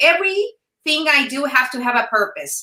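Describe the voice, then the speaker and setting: A woman with a Mexican accent speaks at a moderate pace in a high, bright and sharp voice, raised and projected, with lively intonation. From Sonora, Mexico. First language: Spanish. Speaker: former news anchor, entrepreneur. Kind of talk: interview. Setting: live video stream.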